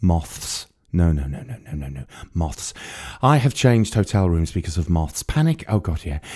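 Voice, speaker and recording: In a very clean recording with a silent background, a man with a very deep, low pitch and a dark, mellow, somewhat breathy tone speaks at a moderate pace with lively intonation and long, frequent pauses. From North Wales, near the Wirral. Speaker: writer and narrator. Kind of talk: scripted narration.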